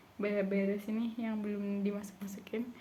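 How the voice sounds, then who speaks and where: Audible room echo and noticeable background noise surround speech delivered at a fairly quick pace. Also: woman. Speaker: vlogger, university student. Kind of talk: casual vlog monologue. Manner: chatty, filler-heavy.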